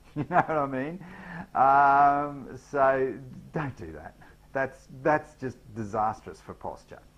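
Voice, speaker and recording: Someone with an Australian accent talks at a very slow pace, with ordinary pitch variation and big swings in loudness. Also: man, fairly high pitch for a man. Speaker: business trainer. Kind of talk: tutorial. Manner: hesitant, many fillers.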